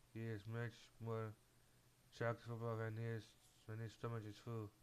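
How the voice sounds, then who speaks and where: Speaking in a non-native accent, a man talks at a medium pitch and a fairly slow pace. His intonation is monotone and flat. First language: not English. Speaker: gamer. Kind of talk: reading game dialogue aloud.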